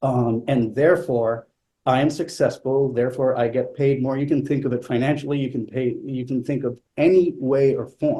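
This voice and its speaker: Somewhat breathy, a man speaks with a fairly high pitch and a dark, mellow tone. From Italy. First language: not English. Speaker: flutist. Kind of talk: panel conversation. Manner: hesitant, many fillers.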